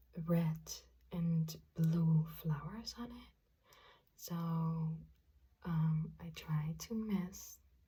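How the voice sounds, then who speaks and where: Soft-spoken and at a very slow pace, a woman speaks with big swings in loudness and long, frequent pauses. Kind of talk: ASMR roleplay makeup application addressed to the listener.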